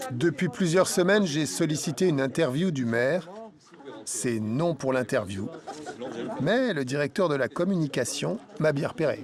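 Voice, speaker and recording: Lively intonation at a fairly slow pace, broken by long, frequent pauses, over noticeable background noise. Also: man, fairly high pitch for a man. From Portugal. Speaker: documentary filmmaker. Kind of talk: documentary narration.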